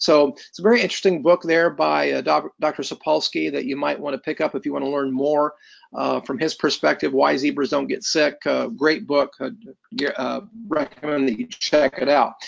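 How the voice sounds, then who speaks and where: With a Midwestern American accent, a man speaks at a moderate pace. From US Midwest (Indiana). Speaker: health educator. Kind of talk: lecture. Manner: halting, frequent fillers.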